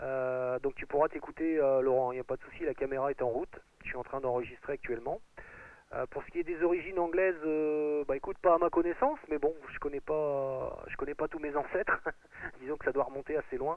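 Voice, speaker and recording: This man speaks with a Picard accent at a fairly high pitch. He talks at a fairly quick pace with fairly even intonation. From Picardy, northern France. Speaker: amateur radio operator. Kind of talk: radio contact chat. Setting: shortwave radio contact. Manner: halting, many hesitations.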